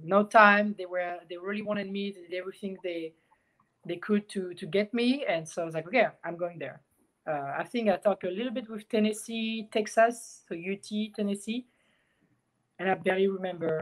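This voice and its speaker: A woman with a French accent at a medium pitch, ordinary pitch variation, a moderate pace and big swings in loudness. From France. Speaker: professional swimmer. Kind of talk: casual chat.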